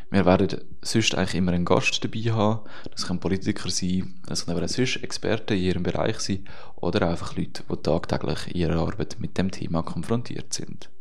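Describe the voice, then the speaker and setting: A man's very deep, low voice at a fairly quick pace, with ordinary pitch variation, audible room echo and noticeable background noise. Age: 20s. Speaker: podcast co-host, student radio journalist. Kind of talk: scripted podcast introduction.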